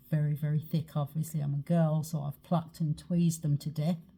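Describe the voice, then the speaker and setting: In a somewhat breathy, very deep, low voice, a woman speaks with a dark, mellow tone and monotone, flat intonation. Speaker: makeup and skincare seller. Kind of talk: makeup tutorial. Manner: casual, chatty.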